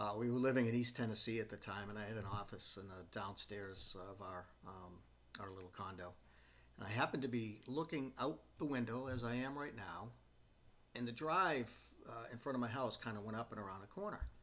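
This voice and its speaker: A man's medium-pitched voice at a fairly quick pace, with ordinary pitch variation, a normal speaking voice. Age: 60s. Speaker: retirement vlogger, former professional adviser. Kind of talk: casual talk to camera. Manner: relaxed, with frequent fillers.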